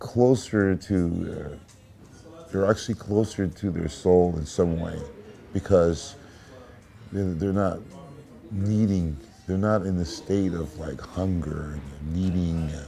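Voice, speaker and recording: Over background music, a man with an American accent speaks very slowly in a very deep, low pitch with ordinary pitch variation. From USA. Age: 60s. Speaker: blues musician. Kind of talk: interview. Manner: halting.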